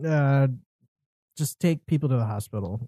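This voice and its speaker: Against a quiet background, a man with a fairly high, somewhat breathy voice talks at a moderate pace in a dry, close sound with no echo. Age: 20s. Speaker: podcast host. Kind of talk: casual chat. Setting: home studio, in person.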